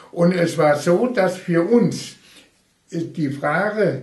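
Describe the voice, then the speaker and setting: Pitched high, this man's voice rises and falls in very wide swings. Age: 80s+. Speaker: retired railway union official. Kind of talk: oral history interview.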